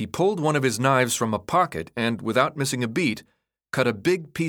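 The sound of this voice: An unforced reading voice with lively intonation against a quiet background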